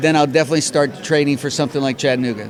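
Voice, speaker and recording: Noticeable background noise sits behind this man. His intonation is lively. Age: 60s. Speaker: marathon runner. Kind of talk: casual interview.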